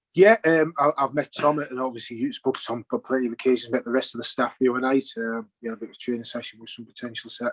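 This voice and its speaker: Speaking very fast with a strong Teesside accent, a man has a medium pitch, and the sound is dry and close with no echo. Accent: Teesside, still strong. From northern England, Teesside (Stockton). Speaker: football player-coach. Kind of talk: interview.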